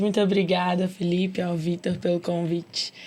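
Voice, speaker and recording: Against noticeable background noise, a woman speaks at a moderate pace and medium pitch in a flat monotone. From interior of Minas Gerais, Brazil (Ponte Nova). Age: 20s. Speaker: medical student. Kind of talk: podcast conversation.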